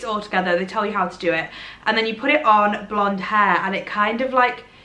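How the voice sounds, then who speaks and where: A woman at a fairly quick pace and fairly high pitch, with audible room echo and noticeable background noise. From Derbyshire, England. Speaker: social media creator. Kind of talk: casual chat to camera. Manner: chatty, rambling with fillers.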